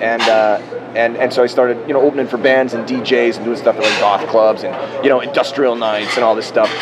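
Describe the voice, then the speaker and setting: A man with an American accent speaks at a medium pitch with fairly even intonation, over noticeable background noise and audible room echo. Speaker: magician. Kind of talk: interview. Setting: live in person in Las Vegas.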